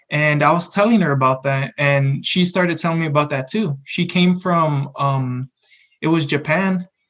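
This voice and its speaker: A man with a Spanish accent, fairly high in pitch, at a moderate pace with ordinary pitch variation. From San Antonio, Texas. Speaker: college student podcast co-host. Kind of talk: casual chat.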